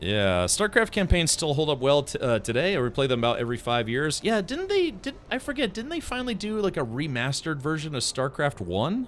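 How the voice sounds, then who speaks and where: A man speaks at a fairly quick pace with hardly any pauses, his fairly high pitch making very wide swings over noticeable background noise. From Hawaii. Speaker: video game streamer. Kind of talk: casual gameplay commentary chatting with viewers. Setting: live stream. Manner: casual, hesitant with many fillers.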